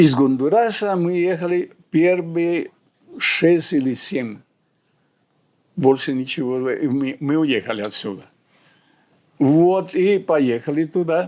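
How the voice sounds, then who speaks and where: A man with a Central American accent speaks at a very slow pace and a fairly high pitch. His intonation is lively, with long, frequent pauses. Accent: Spanish (Central American) accent in Russian. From Honduras. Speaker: surgeon and university lecturer. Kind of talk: interview answer.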